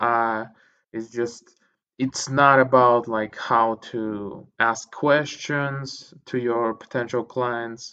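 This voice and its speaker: Against a quiet background, a man with a non-native accent talks at a very slow pace with a bright, sharp tone and fairly even intonation. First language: not English. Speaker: podcast host reading books. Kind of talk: casual monologue. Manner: hesitant, many fillers.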